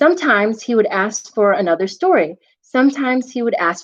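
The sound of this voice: Lively intonation in an unforced reading voice, quiet background behind it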